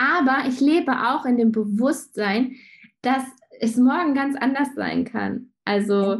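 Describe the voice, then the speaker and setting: The voice moves at a very slow pace with ordinary pitch variation. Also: woman, high pitch for a woman. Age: 30s. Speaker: graphic designer and shop owner. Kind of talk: casual interview. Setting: video call.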